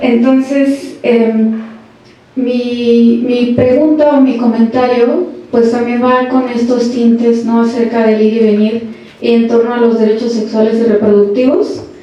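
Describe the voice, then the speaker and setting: Over noticeable background noise and audible room echo, a woman speaks in a high pitch at a fairly slow pace, with fairly even intonation and very even loudness. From Tijuana, Mexico. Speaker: audience member, researcher. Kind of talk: audience question at panel.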